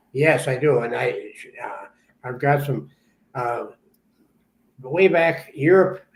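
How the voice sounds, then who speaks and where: Somewhat breathy and fairly high, a man's voice moves at a fairly slow pace. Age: 80s+. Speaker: metal detectorist and author. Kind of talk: casual chat.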